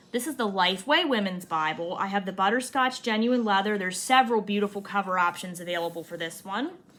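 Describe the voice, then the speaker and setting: A woman's animated tone with ordinary pitch variation. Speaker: Bible reviewer. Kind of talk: product review.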